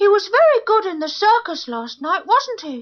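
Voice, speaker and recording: A woman performs a squeaky, put-on character voice. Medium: audio drama.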